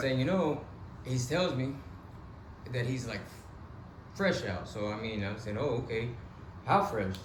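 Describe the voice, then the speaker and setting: A man speaks at a fairly slow pace with lively intonation and long, frequent pauses over noticeable background noise. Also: medium pitch for a man. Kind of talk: casual interview host.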